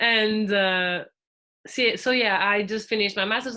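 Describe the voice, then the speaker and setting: A woman with a Portuguese accent speaks at a moderate pace and a fairly high pitch with fairly even intonation. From Portugal. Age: 20s. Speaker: podcast guest, former volunteer. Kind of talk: casual interview. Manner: halting.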